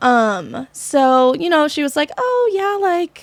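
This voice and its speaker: Speaking with a Miami accent, this voice moves through very wide pitch swings on a very clean recording with a silent background and a dry, close sound with no echo. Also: woman. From Miami, Florida. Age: 20s. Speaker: dancer. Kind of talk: casual chat.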